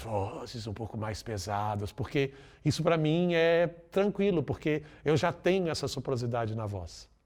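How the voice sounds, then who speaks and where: A man talks at a fairly slow pace with lively intonation. The recording is very clean, and the background is silent. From Brazil, Minas Gerais (Belo Horizonte). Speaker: voice actor and musical theatre performer. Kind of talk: interview. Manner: casual, conversational.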